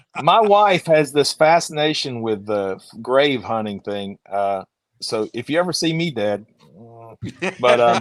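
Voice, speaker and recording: Speaking with an Alabama accent, the voice moves at a fairly slow pace with long, frequent pauses. Its pitch swings very widely. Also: man, medium pitch for a man. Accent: Alabama Southern US. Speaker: motorcycle channel host. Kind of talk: casual chat.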